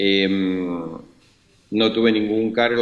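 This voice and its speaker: The speaker has a Rioplatense accent. The intonation stays fairly even. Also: man. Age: 60s. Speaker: former government official, prisoner. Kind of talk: interview.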